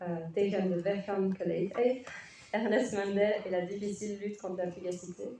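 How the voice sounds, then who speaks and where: Over noticeable background noise, a woman with a Flemish accent talks in a monotone, flat intonation. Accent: Flemish accent when speaking French. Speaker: conference moderator. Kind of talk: panel introduction.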